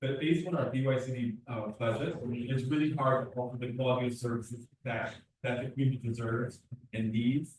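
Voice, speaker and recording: Fairly quick and somewhat breathy, a man talks in a medium pitch. His intonation is fairly even. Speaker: after-school program director. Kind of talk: public testimony. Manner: fast.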